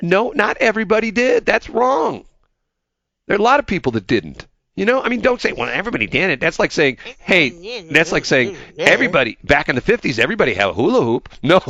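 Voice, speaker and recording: A man uses a put-on, whiny character voice, high-pitched with very wide pitch swings. He speaks at a very fast pace in a dry, close recording with no echo. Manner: grumpy, whiny.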